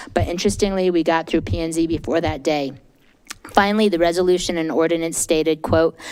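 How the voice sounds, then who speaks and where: At a very fast pace, a woman with a fairly low pitch speaks with fairly even intonation. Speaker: citizen commenter at public meeting. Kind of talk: public comment statement. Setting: council meeting at a microphone.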